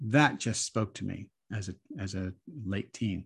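A somewhat breathy man at fairly low pitch, moderate pace and lively intonation, on a very clean recording with a silent background. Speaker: rabbi and author. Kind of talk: interview conversation. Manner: thoughtful, explanatory.

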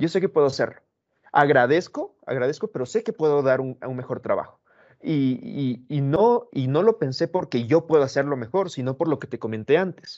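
A man with a plain, everyday voice speaks at a moderate pace, his fairly high pitch carried by lively intonation. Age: 20s. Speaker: motivational coach. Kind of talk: casual chat.

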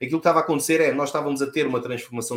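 This man speaks at a fairly high pitch with fairly even intonation, and the recording is very clean with a silent background. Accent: Lisbon. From Portugal, Lisbon. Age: 40s. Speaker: cybersecurity specialist. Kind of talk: interview.

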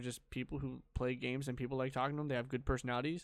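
A man talks at a very fast pace with a medium-pitched voice. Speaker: podcast co-host. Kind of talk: casual chat.

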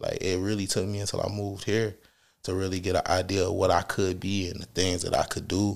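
A man's fairly low voice with a Detroit accent, flat and monotone, at a fairly quick pace, on a very clean recording with a silent background. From Detroit, Michigan. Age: middle-aged. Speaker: music artist. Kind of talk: casual interview chat.

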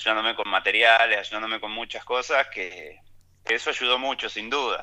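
A man with an ordinary speaking voice, medium in pitch, at a moderate pace. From Argentina, Ayacucho (Buenos Aires province). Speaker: mountain bike racer and cycling coach. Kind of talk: interview, casual chat.

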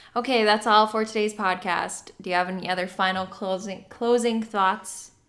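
In a North Dakota accent, a woman speaks at a fairly slow pace with a fairly high pitch and fairly even intonation. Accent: North Dakota, Canadian-sounding. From US Upper Midwest, North Dakota. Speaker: podcast host. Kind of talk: casual chat.

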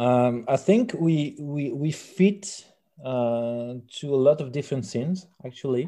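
In a French accent, a man speaks fairly slowly at a fairly high pitch with ordinary pitch variation. His tone is dark and mellow. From rural France. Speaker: musician. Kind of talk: interview. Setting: phone call. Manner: halting.

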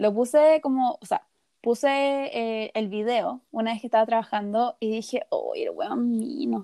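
A high-pitched woman with a Chilean accent, dark and mellow in tone, with ordinary pitch variation and a dry, close sound with no echo. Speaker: podcast co-host. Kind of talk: casual chat. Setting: recording from her bed.

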